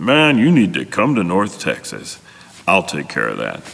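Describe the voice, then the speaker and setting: This man uses a put-on character voice, booming and fairly low in pitch. It swings very widely in pitch at a moderate pace. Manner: confident, hearty.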